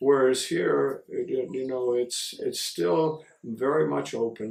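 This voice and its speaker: With an American accent, a man speaks at a fairly slow pace with hardly any pauses. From US Midwest, Chicago. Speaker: missionary priest. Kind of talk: interview. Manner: halting, many fillers and repeats.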